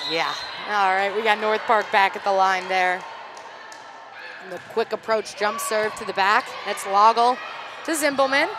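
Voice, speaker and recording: A woman with a fairly high pitch pauses long and often, with noticeable background noise behind her. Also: ordinary pitch variation, moderate pace. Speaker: volleyball play-by-play commentator. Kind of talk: live commentary. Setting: courtside at a college fieldhouse with headsets. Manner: loud when play escalates; animated.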